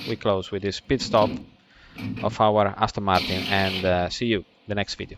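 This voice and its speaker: A man with an Italian accent talks at a fairly low pitch. His pace is moderate, and there is noticeable background noise. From Italy. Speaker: racing driver and driving coach. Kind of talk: sim racing lap guide commentary. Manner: casual, enthusiastic.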